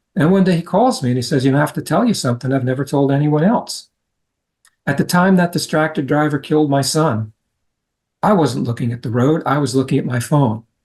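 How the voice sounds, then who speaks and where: A man's somewhat breathy, fairly high-pitched voice with ordinary pitch variation. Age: 70s. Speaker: road safety advocate. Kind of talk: interview.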